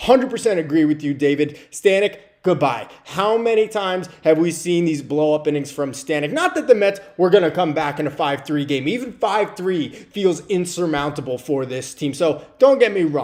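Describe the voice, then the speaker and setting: A man with an American accent speaks at a moderate pace with hardly any pauses. His fairly high voice carries lively intonation. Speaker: sports streamer, Mets fan commentator. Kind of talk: postgame livestream rant. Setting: livestream with chat. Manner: animated, exasperated; stumbling over words.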